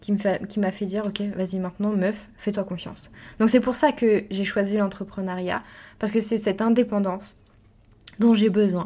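A woman of medium pitch speaks at a moderate pace with a dark, mellow tone. Her intonation is monotone and flat, in a very clean recording with a silent background. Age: 20s. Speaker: entrepreneur and podcast host. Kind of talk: personal monologue. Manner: halting.

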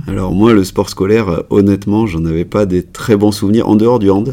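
In a dark, mellow tone, a man speaks with a fairly low pitch and fairly even intonation. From France, Cantal (Auvergne). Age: 40s. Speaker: emergency and sports doctor. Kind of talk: casual interview. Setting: in person, same room.

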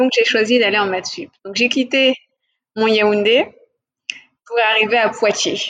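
The speech moves at a very slow pace with long, frequent pauses. Pitch variation is ordinary. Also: woman, fairly high pitch for a woman. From West and Central Africa (Mali, Senegal, Cameroon). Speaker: business executive. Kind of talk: interview. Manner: hesitant with fillers.

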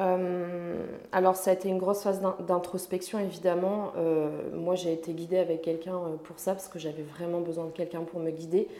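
Amid audible room echo, a woman with a fairly low voice speaks at a moderate pace in monotone, flat intonation, with big swings in loudness. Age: 20s. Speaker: personal development coach. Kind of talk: casual chat.

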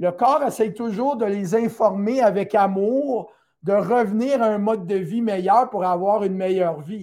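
A man's high-pitched voice with a Quebec accent, ordinary pitch variation and a very slow pace, on a very clean recording with a silent background. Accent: Québécois French. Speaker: naturopath and teacher. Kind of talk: educational talk on a live stream.

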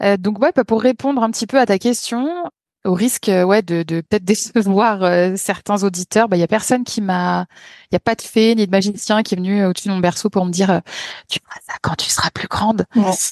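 A woman with a plain, everyday voice speaks at a medium pitch and moderate pace with ordinary pitch variation, in a dry, close sound with no echo against a quiet background. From France, Lyon. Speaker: photographer. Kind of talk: podcast interview.

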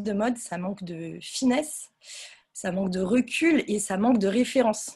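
A woman's dark, mellow, somewhat breathy voice moves with ordinary pitch variation. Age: 30s. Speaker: fashion brand founder. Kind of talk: casual interview.

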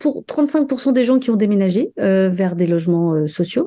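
Her tone is dark and mellow. This woman speaks with lively intonation. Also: quiet background. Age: 40s. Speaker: development manager at a charity bookshop. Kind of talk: interview. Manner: hesitant, many fillers.

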